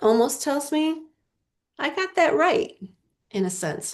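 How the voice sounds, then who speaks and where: The pace is very slow. Pitch swings are very wide. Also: woman. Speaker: literacy professor and presenter. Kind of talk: webinar presentation. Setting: video call webinar. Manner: animated.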